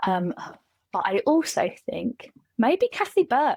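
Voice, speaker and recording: With a Kent accent, this woman's voice swings very widely in pitch. The sound is dry and close, with no echo. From England, Kent. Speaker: SaaS customer success specialist. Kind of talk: casual chat.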